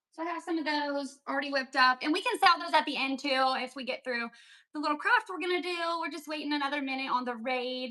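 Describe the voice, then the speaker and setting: A raised, projected voice carries a bright, sharp tone, an animated tone and lively intonation. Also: woman. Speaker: online seller and crafter. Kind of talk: live-stream craft sale. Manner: fast.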